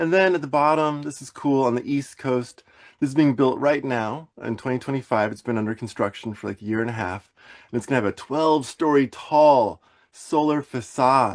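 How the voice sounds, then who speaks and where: A man with an American accent talks fairly quickly at a medium pitch, with ordinary pitch variation. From US Midwest, Wisconsin. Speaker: building electrification consultant. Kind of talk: webinar presentation. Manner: fast.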